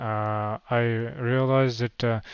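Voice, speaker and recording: This man has a Russian accent. He speaks at a medium pitch. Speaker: crypto project founder. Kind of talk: livestream Q&A. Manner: halting, many fillers.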